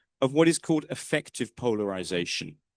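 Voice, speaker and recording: A man with a British accent makes very wide pitch swings, the sound dry and close with no echo. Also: quiet background. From northern England. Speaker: political science professor. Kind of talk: lecture. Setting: lecture room with audience. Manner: conversational.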